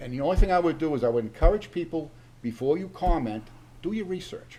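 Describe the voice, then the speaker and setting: Speaking very fast with lively intonation, a man with a New England accent has a fairly high pitch and a dark, mellow tone. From Massachusetts, Oxford. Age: 70s. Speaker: town board member. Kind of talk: public meeting remarks. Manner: animated.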